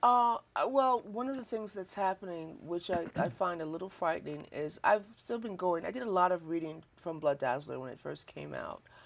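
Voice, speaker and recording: A woman's normal speaking voice, fairly low in pitch, with lively intonation, big swings in loudness, hardly any pauses and a moderate pace. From Chicago, US Midwest. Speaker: poet. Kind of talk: interview.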